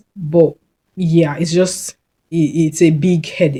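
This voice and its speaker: A woman speaks with a dark, mellow, somewhat breathy tone at a fairly low pitch, keeping her intonation fairly even. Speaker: video blogger on neurodivergence. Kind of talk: casual personal talk to camera. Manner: fast when passionate.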